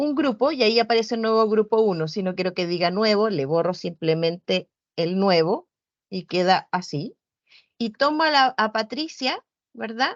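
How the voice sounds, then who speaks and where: A woman with a fairly high pitch and very wide pitch swings, at a moderate pace, in a dry sound with no echo and a quiet background. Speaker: virtual education coordinator; instructor giving a platform training. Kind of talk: online training session. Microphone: video call.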